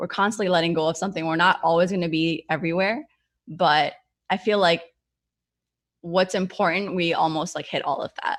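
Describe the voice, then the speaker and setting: An unremarkable speaking voice with fairly even intonation comes through on a very clean recording against a silent background. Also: woman. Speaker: entrepreneur and motivational speaker. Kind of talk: Q&A in a virtual business workshop.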